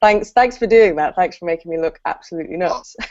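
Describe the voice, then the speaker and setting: With a southern English accent, a woman speaks at a medium pitch. Her pitch varies in an ordinary way. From southern England, Brighton. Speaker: copywriter and content trainer. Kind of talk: casual interview chat.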